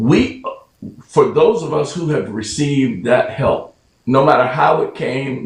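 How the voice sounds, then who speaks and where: A man is speaking. His pace is fairly slow. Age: 60s. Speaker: fraternity member and mentor. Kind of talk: interview.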